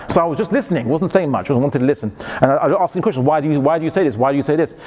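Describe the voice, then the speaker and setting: Amid noticeable background noise, a man with a British accent and a fairly high voice talks at a very fast pace. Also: ordinary pitch variation. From England. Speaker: Islamic lecturer. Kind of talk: lecture.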